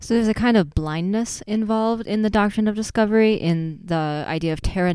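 A woman speaks in a dark, mellow tone with ordinary pitch variation. She talks at a fairly quick pace with hardly any pauses. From Wisconsin. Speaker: playwright and pastor. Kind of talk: casual chat.

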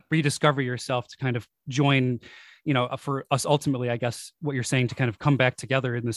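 Someone with a Buffalo accent talks very fast in an enthusiastic tone, the sound dry and close with no echo on a very clean recording with a silent background. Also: man. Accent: Western New York (Buffalo) American. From Buffalo, New York. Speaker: podcast host. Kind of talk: interview.

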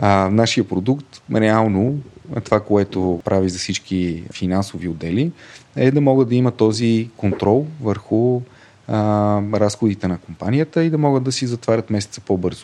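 A man with a normal speaking voice talks at a fairly slow pace and a fairly low pitch, with ordinary pitch variation. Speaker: fintech co-founder and finance director. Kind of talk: interview.

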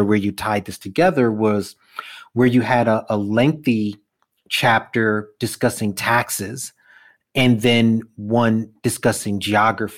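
This man speaks with a New York accent. His pitch sits in the medium range with ordinary variation. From Brooklyn, New York. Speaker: podcast host. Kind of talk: casual interview.

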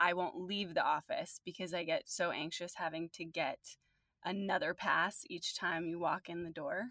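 In a very clean recording with a silent background and a dry, close sound with no echo, a woman with an American accent speaks at a moderate pace in a fairly low, bright, sharp voice with fairly even intonation. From New Jersey. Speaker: podcast host. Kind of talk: interview. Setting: studio.

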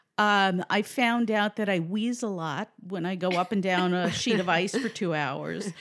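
A woman with an American accent speaks at a fairly slow pace with hardly any pauses, in a plain, everyday voice. Her pitch is medium with ordinary variation, on a very clean recording with a silent background. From New York City, the Bronx. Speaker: crossword columnist. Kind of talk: casual chat. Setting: at guest's home.

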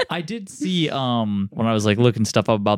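A man speaks at a moderate pace in a fairly low pitch, with a normal speaking voice. The recording is very clean, with a silent background. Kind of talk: casual chat, movie review podcast.

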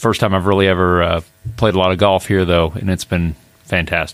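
A man with a Midwestern American accent, very deep, low pitch and monotone, flat intonation. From southern Indiana, US. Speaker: amateur golfer. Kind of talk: casual chat. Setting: studio. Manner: halting, many fillers.

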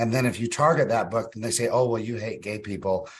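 A man with a medium-pitched, somewhat breathy voice speaks fairly quickly. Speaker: state senator, co-host. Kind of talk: casual political commentary.

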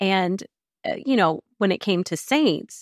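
A woman in an American accent speaks at medium pitch and a very slow pace, recorded dry and close with no echo and a very clean, silent background. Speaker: Bible teacher and author. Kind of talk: casual interview. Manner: animated.

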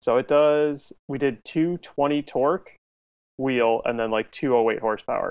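With an American accent, a man speaks in a normal speaking voice, fairly high in pitch, with ordinary pitch variation at a moderate pace. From Illinois, Chicago area. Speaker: amateur drift racer and automotive instructor. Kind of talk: casual chat.

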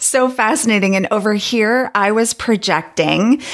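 A woman's fairly high pitch shows ordinary pitch variation at a moderate pace. It is an unremarkable speaking voice. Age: 50s. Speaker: podcast host. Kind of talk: casual chat.

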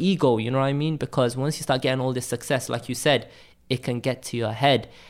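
A man with a Cardiff accent at medium pitch and a fairly quick pace, on a very clean recording with a silent background. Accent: Welsh (Cardiff). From Cardiff, Wales. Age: 20s. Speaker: graphic designer. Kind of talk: casual interview chat. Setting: apartment, in person.

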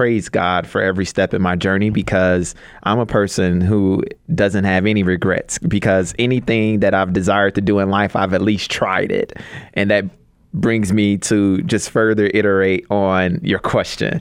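A man's fairly low voice with an American accent, fairly even intonation and a moderate pace. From Chicago, US (South Side). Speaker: education nonprofit director. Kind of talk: radio interview. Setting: radio studio.

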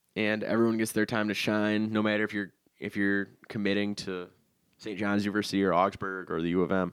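Talking at a fairly quick pace, a man has an American accent and a fairly low pitch. His intonation is monotone and flat, on a very clean recording with a silent background. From Minnesota, Winona. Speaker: high school sports recruiting writer. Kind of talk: casual chat.

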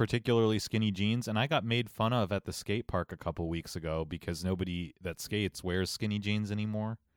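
A man with a slight Ohio accent talks at a fairly quick pace with a fairly low pitch and ordinary pitch variation, the sound dry and close with no echo. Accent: slight Ohio accent creeping back. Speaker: podcast co-host. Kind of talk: casual chat.

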